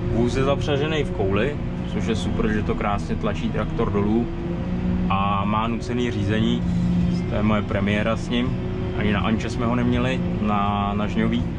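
With music in the background, a man talks at a moderate pace, leaving long, frequent pauses. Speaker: tractor driver. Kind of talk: casual commentary. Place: farm machine. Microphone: phone near.

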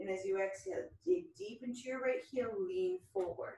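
A woman's somewhat breathy voice with lively intonation at a moderate pace, plus audible room echo. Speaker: fitness instructor. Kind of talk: workout instruction. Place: home room. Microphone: camera far.

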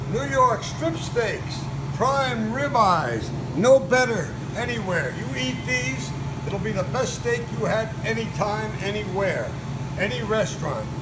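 A man speaking fairly slowly over loud background noise. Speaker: butcher shop owner. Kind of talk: street-seller-style sales pitch, rattling off meat cuts like a market barker. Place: shop. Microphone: phone near.

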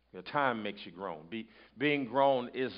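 A man speaks in an animated tone with ordinary pitch variation. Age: 30s. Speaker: pastor. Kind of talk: sermon. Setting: church. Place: stage.

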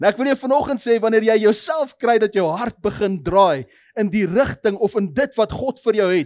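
The intonation is lively. The background is quiet. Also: man. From South Africa. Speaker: pastor. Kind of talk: sermon. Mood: soft prayerful tone at end. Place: church. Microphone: headset.

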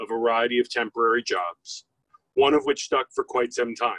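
A man speaks at a moderate pace. The background is quiet and the sound is dry, with no echo. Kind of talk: eulogy. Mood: solemn, measured. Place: open country.

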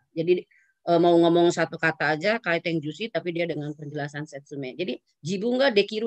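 A woman speaks at a fairly quick pace. The sound is dry, with no echo. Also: quiet background. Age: 50s. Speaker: university lecturer of Japanese. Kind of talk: lecture. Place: home room. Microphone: video call.

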